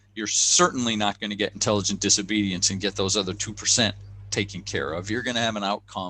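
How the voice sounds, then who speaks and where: With a bright, sharp tone and a fairly low pitch, a man talks at a fairly quick pace with fairly even intonation. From United States. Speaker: leadership coach and author. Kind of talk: podcast interview. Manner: repetitive stammering restarts.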